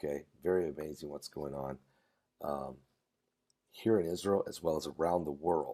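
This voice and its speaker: With vocal fry and big swings in loudness, a man speaks at a moderate pace in a very deep, low pitch and a dark, mellow tone. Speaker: pastor. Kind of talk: live stream talk. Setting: hotel room. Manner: soft-spoken.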